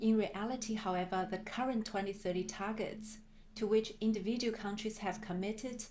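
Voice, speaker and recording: A woman with an Australian accent speaks at a moderate pace in a fairly high pitch. Her intonation is monotone and flat, with audible room echo. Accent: Australian-tinged. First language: Chinese. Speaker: climate planner. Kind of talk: work presentation. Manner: formal.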